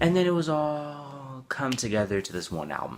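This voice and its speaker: The speaker is a man. His intonation is lively. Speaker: music reviewer. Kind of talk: album review monologue.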